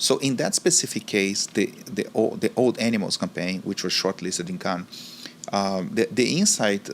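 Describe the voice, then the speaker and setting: With a Brazilian accent and noticeable background noise, a man speaks at a moderate pace in a fairly low pitch with ordinary pitch variation. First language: Portuguese. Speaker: marketing executive. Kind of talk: interview.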